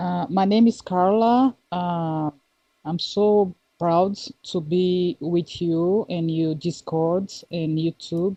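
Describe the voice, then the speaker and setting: A woman with a fairly low pitch, a Brazilian Portuguese accent and a very slow pace. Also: ordinary pitch variation. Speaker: listener asking questions. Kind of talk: casual chat. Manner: halting.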